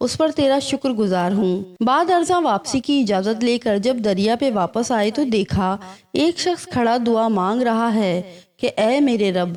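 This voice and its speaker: An unremarkable speaking voice with lively intonation carries the clip. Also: woman, fairly high pitch for a woman. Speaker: voice-over artist. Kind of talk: religious story narration.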